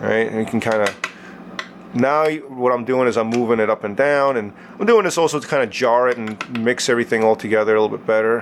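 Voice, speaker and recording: A man speaks at a very fast pace with a medium pitch and ordinary pitch variation. Noticeable background noise is present. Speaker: liquid light show artist. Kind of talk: tutorial. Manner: casual, filler-heavy.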